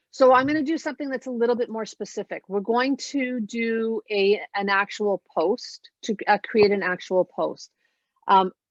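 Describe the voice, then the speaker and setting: A woman has a plain, everyday voice. She speaks at a fairly slow pace with ordinary pitch variation. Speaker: social media marketing trainer. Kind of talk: webinar tutorial.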